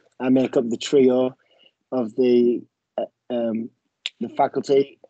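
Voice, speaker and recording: A man with an English accent and a dark, mellow tone, in a dry, close sound with no echo. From England. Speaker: university professor and soccer coach. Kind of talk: online info session. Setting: video call.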